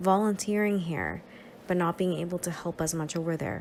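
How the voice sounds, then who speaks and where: A woman with a Spanish accent, fairly low in pitch, at a fairly quick pace with ordinary pitch variation. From Nicaragua. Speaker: social work student and counselor. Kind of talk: presentation.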